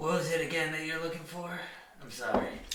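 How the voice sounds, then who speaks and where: A man puts on a raspy character voice, fairly high in pitch and fairly quick in pace. Loud background noise and a slight echo fill the recording. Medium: actual play. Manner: sultry, teasing.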